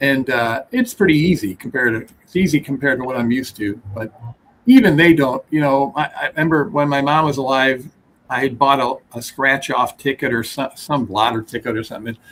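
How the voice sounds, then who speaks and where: An unremarkable speaking voice from a man, fairly high in pitch and fairly quick, with ordinary pitch variation. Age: 60s. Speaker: dog breeder. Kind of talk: casual chat.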